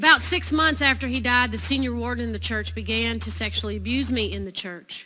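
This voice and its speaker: A woman speaks in a Southern US accent. Her pace is fairly quick, with hardly any pauses. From Tennessee. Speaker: priest and charity founder. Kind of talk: keynote speech. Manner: animated.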